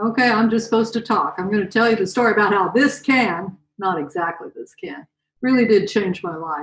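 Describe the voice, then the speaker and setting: This woman has an American accent and a somewhat breathy voice. She talks at a moderate pace with ordinary pitch variation. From US Mountain West (Utah and Colorado). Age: 70s. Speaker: motivational speaker. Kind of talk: storytelling talk. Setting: video call. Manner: animated.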